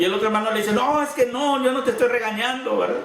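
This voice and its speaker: A man is shouting, loud and with fairly even intonation, amid noticeable background noise and audible room echo. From Sinaloa, Mexico. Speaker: pastor. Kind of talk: sermon. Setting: church congregation. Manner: sounds loud, like shouting or scolding; hesitant, with repeated words.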